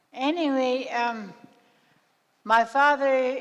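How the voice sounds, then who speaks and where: Fairly even intonation runs through a woman's high-pitched speech. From southern Yukon, Canada (Tagish). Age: 90s. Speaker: First Nations elder. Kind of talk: oral storytelling. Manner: halting.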